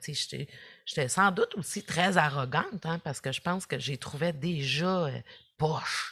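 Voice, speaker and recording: Very slowly and in a Quebec accent, a woman speaks with a very deep, low pitch, a bright, sharp tone and ordinary pitch variation against a quiet background. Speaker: social work professor and former youth in care. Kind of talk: podcast interview.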